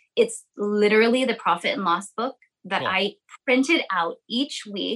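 An ordinary speaking voice in an American accent moves at a moderate pace with ordinary pitch variation. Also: woman. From US West Coast, Sonoma County, California. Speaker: lash salon owner and business coach. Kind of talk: casual interview chat.

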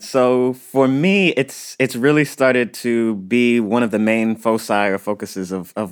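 A man with an unremarkable speaking voice talks at a medium pitch with ordinary pitch variation on a very clean recording with a silent background. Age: 30s. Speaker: archaeologist. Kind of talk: interview.

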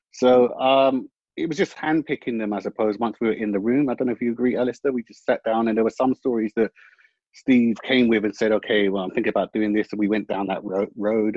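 With a London accent, a man of medium pitch talks at a fairly quick pace using fairly even intonation. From West London. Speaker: screenwriter. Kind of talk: panel discussion. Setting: video call.

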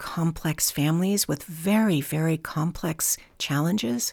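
In a very clean recording with a silent background, a woman with an American accent has an unremarkable speaking voice, a fairly low pitch and ordinary pitch variation. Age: 60s. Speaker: foster care advocate. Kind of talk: interview. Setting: on location.

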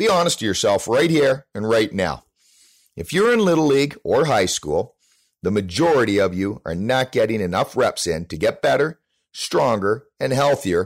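In a very clean recording with a silent background, a man at medium pitch talks at a moderate pace with vocal fry and very wide pitch swings. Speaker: baseball trainer. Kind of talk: scripted segment. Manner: passionate.

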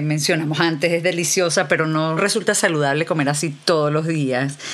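With noticeable background noise behind her, a woman talks at a moderate pace in a very deep, low pitch and fairly even intonation. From Venezuela. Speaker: podcast host and novelist. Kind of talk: casual interview.

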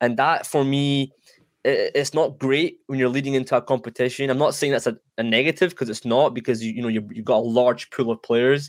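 Speaking fairly quickly with a Scottish accent, a man uses a medium pitch and ordinary pitch variation on a very clean recording with a silent background. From Iranian heritage, lives in Scotland. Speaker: soccer podcaster. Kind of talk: casual sports chat.

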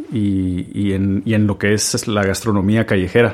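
A man is speaking. His pace is very slow. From Guatemala. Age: 30s. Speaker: chef. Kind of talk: storytelling monologue.

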